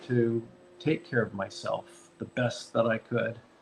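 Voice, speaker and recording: A man's medium-pitched voice comes at a moderate pace against noticeable background noise. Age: 60s. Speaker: dentist and practice owner. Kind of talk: interview. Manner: halting.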